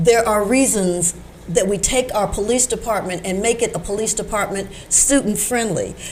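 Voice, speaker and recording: A woman's fairly high voice with an American accent, fairly even intonation and a moderate pace, over noticeable background noise. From Chicago, Illinois. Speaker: science teacher and political candidate. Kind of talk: interview answer.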